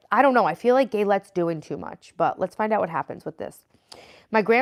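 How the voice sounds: Quiet background behind a natural reading voice.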